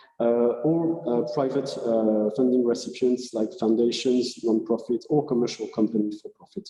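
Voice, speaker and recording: A man at medium pitch in a French accent, with fairly even intonation, a moderate pace and noticeable background noise. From France. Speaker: research funding agency representative. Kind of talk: conference presentation. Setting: hybrid conference. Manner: halting, many fillers.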